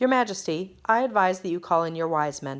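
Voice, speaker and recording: A woman's put-on character voice at medium pitch, with lively intonation and a fairly quick pace. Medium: read story. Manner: formal, anxious.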